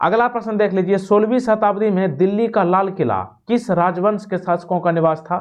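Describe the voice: This man's pitch is high. He talks at a moderate pace.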